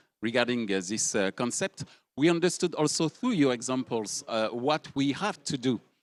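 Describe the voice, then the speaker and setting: With a French accent, a man speaks at a moderate pace and medium pitch, his intonation lively, the sound dry and close with no echo over a quiet background. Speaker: panel moderator. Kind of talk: panel discussion.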